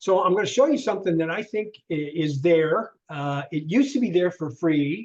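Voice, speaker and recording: Pausing hardly at all, a man talks in a high voice with lively intonation. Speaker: LinkedIn trainer. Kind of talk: online workshop. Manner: fast.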